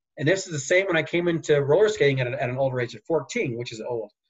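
Here a man speaks at a very fast pace in a fairly high, somewhat breathy voice. His pitch shows ordinary variation. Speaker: former Olympic speed skater. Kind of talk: interview.

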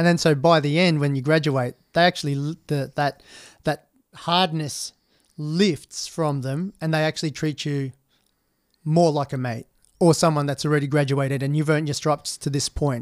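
Speaking with an Australian accent, a man with a fairly high pitch keeps a moderate pace and fairly even intonation in a very clean, silent-background recording with dry, close sound and no echo. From Western Australia, outback mining towns and Perth. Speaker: army veteran. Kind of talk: interview.

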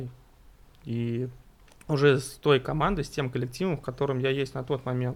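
This man talks at a moderate tempo, his medium pitch carried by fairly even intonation. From Russia, Tver. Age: 30s. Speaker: amateur football referee and player. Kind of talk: casual chat.

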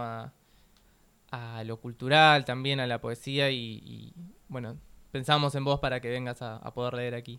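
A man speaks with a Rioplatense accent at a moderate pace. His pitch is medium and his intonation fairly even. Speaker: radio host. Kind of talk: casual radio chat.

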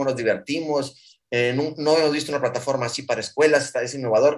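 Fairly quick delivery from a man with a fairly high-pitched voice. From Mexico. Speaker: startup founder. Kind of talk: interview. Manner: fast; halting.

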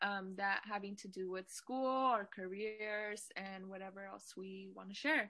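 Fairly slow, bright, sharp speech from a woman with an American accent, fairly even intonation, big swings in loudness and hardly any pauses. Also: medium pitch for a woman. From Fresno, California. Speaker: podcast co-host. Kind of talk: casual chat.

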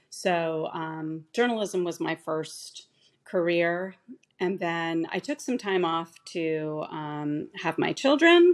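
Very slowly, a woman speaks at a fairly low pitch with ordinary pitch variation. The background is quiet. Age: 50s. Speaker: state legislator. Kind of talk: interview.

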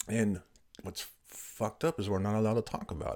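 A man's fairly low, somewhat breathy voice at a moderate pace. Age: 40s. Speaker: podcast host and veteran author. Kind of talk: solo monologue podcast. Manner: hesitant with frequent fillers.

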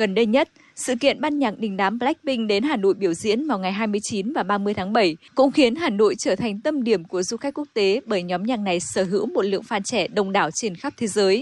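A woman's normal speaking voice, fairly high and fairly quick, with lively intonation, hardly any pauses, and a dry, close sound with no echo. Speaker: radio reporter. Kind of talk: news reading.

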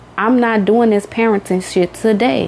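Someone speaks in an animated tone at a moderate pace over noticeable background noise. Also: woman. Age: 30s. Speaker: podcast host, mother. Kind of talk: casual monologue.

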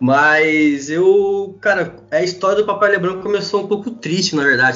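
With lively intonation and a moderate pace, a man talks in a normal speaking voice. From Brazil, interior of São Paulo state. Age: 20s. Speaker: sports fan page administrator. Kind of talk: casual chat.

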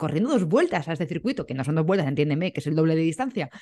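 With a normal speaking voice, a woman talks at a fairly low pitch and with lively intonation. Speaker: podcast host. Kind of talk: casual interview chat.

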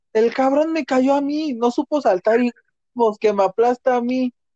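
A man's dark, mellow tone at a fairly slow pace, dry and close with no echo, against a quiet background. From Mexico. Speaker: podcast host. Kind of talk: casual chat.

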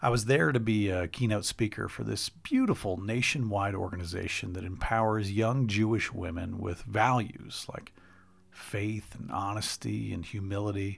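A man speaks in a warm, somewhat breathy voice with a fairly low pitch and fairly even intonation. The recording is very clean, with a silent background. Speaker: podcast host and speaker. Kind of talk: personal storytelling monologue with a heartfelt, sermon-like appeal. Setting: solo recording with direct address to listeners. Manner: earnest, warm and reflective, with self-deprecating laughs.

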